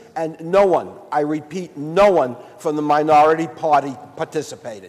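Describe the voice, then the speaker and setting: There is noticeable background noise as a man speaks in an American accent. He keeps a moderate pace and fairly even intonation. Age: 60s. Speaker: state senator. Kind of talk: legislative floor debate. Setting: senate chamber. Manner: formal.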